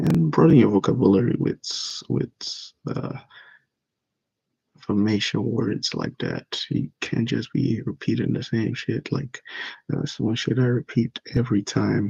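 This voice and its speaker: A man speaks at a fairly slow pace in a dark, mellow tone with vocal fry, his medium pitch showing ordinary variation in a dry, close sound with no echo. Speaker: vlogger working on his speaking skills. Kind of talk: reading notes aloud with commentary. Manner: timid.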